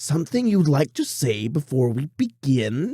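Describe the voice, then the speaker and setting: A man puts on a character voice, pitched rather high for him and delivered at an average speed. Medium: read story. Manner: theatrical, mockingly polite, cruel underneath.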